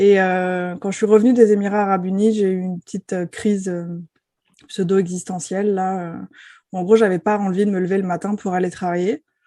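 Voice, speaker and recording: Over a quiet background, a woman with a dark, mellow tone and medium pitch speaks at a fairly quick pace with monotone, flat intonation. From France, Paris. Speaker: enneagram expert and coach. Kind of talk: podcast interview. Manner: hesitant, many filler sounds.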